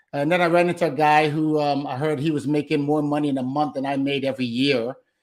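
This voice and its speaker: Speaking with an American accent, a man talks very fast at a fairly high pitch. His intonation is monotone and flat. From Brooklyn, New York. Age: 60s. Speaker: solar salesman and sales trainer. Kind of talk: interview.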